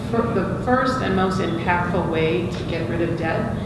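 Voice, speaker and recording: A woman at a moderate pace amid loud background noise and audible room echo. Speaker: student lending executive. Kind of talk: panel discussion. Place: meeting room.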